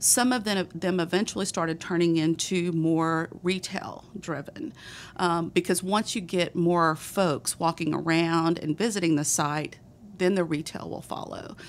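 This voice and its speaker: In a strong Texas accent, a woman talks at a fairly slow pace in a fairly low pitch with fairly even intonation, on a very clean recording with a silent background. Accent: thick Texas. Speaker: city economic development director. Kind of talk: casual chat. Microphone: mic too close to her face.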